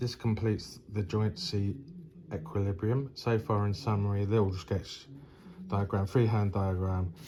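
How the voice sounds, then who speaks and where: A man's fairly low, dark and mellow voice, somewhat breathy, at a fairly slow pace with ordinary pitch variation and very even loudness. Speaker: engineering tutor. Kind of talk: tutorial. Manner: hesitant, many fillers.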